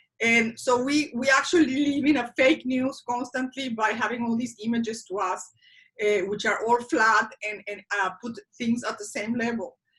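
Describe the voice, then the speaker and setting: A woman with a Spanish accent, fairly high-pitched, at a moderate pace. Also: ordinary pitch variation. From Mexico. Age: 50s. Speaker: interviewee sharing life story. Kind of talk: interview. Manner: halting.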